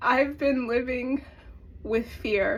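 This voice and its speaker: There is vocal fry in this woman's voice. She talks at a fairly slow pace. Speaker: spiritual coach. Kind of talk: personal confession vlog.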